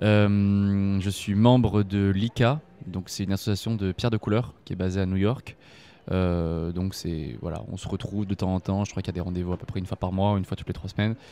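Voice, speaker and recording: A fairly low, dark and mellow male voice, fairly quick with fairly even intonation, on a very clean recording with a silent background. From French Basque Country, Bayonne. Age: 20s. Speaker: gemologist. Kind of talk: interview. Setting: face-to-face. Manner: hesitant, many fillers.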